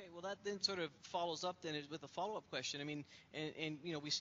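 A man speaks at a very fast pace with ordinary pitch variation. Light background noise sits underneath. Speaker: science education panelist. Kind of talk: panel discussion. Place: office. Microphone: headset.

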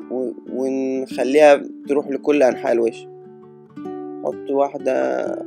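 With music in the background, a man speaks very slowly, leaving long, frequent pauses. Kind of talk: comedic makeup tutorial voiceover. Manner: hesitant, improvised.

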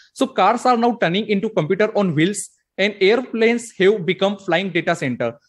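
A man with a high voice speaks at a fairly quick pace against a quiet background. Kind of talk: conference presentation.

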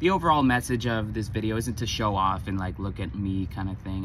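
Recorded dry with no echo, a man talks at a fairly quick pace over noticeable background noise. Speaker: sobriety vlogger. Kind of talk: casual vlog chat. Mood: reflective, motivational. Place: street. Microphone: phone near.

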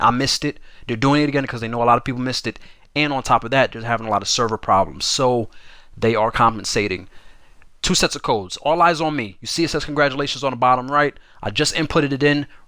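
Loud and animated, a man talks at a very fast pace at a medium pitch with a bright, sharp tone, on a very clean recording with a silent background. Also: ordinary pitch variation. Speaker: gaming YouTuber. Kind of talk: casual tutorial.

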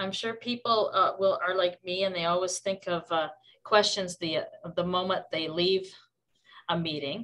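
Her voice is a plain, everyday voice, medium in pitch for a woman. She keeps a moderate pace and fairly even intonation. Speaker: workshop host. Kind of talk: workshop introduction. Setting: video call.

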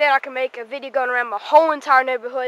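A woman speaks in a raised, projected voice, the sound dry with no echo and light noise behind her. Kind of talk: casual vlog commentary. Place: street. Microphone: phone near.

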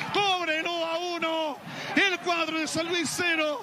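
Crowd noise fills the background as a man speaks very slowly in a raised, projected voice. His pitch is extremely high, and his intonation is a flat monotone. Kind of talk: live radio sports commentary, climactic goal call. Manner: emotional, fervent.

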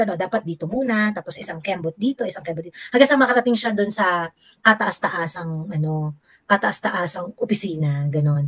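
A somewhat breathy woman at a moderate pace, with very wide pitch swings and a quiet background. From Philippines. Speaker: gossip commentator. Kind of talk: casual chat. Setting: video call. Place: home room.

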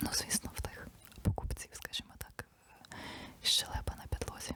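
A woman is whispering at a moderate pace. Noticeable background noise runs behind her. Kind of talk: ASMR whispered ramble to camera. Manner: whispered, soft-spoken.

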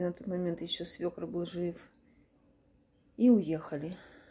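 This woman talks at a fairly slow pace, her dark, mellow tone carrying ordinary pitch variation. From Kharkiv, Ukraine; Ukraine. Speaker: war-displaced mother. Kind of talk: testimony; personal testimony appeal. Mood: sad, subdued. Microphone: phone near.

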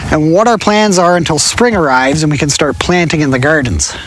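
The speaker is a man. The sound is dry with no echo, with light background noise. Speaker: homesteader vlogger. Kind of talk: casual vlog chat. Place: forest. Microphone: phone near.

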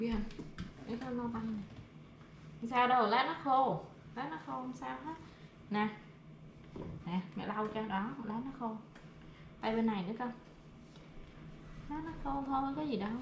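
In a room with audible echo, a woman with a fairly high pitch speaks at a moderate pace with ordinary pitch variation and long, frequent pauses.

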